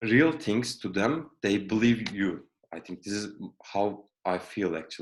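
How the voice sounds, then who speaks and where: The speaker talks at a fairly slow pace with a Turkish accent. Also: man. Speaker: project engineer, alumnus. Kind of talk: career talk interview. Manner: halting.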